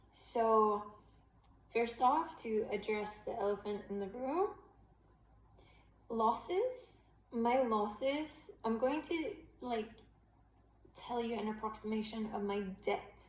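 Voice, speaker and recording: A woman speaks at a very slow pace, her voice somewhat breathy. The room echo is audible. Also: fairly high pitch for a woman, ordinary pitch variation. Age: 30s. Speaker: vlogger sharing gambling addiction story. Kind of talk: personal vlog confession. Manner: hesitant, many fillers.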